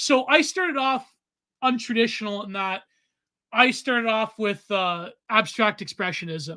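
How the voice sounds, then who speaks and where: The speaker has a Canadian accent and keeps a fairly slow pace. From Canada. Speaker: podcast co-host and self-taught artist. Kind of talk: casual chat. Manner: rambling, halting with repeated fillers.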